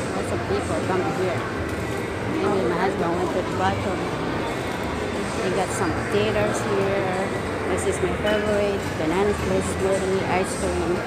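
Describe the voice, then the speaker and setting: Over loud background noise, a woman talks at a fairly slow pace, leaving long, frequent pauses. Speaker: vlogger. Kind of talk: casual vlog chat. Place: shop. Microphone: phone near.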